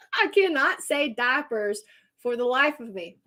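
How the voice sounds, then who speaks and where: On a very clean recording with a silent background, a woman with an American accent speaks at high pitch with lively intonation. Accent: Texan accent, comes out from time to time. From Texas. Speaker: astrologer and tarot reader. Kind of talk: live stream astrology reading. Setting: live stream. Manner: casual, chatty.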